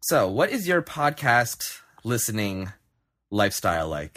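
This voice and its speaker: On a very clean recording with a silent background, a man speaks at a fairly slow pace with very wide pitch swings. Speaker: podcast host. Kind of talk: casual chat. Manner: mumbly.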